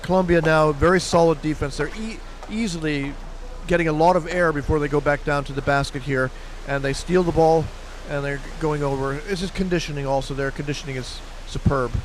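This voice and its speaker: Audible room echo and noticeable background noise surround the voice. The pace is fairly quick. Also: man, fairly high pitch for a man. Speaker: sports commentator. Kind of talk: live commentary. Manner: fast; animated.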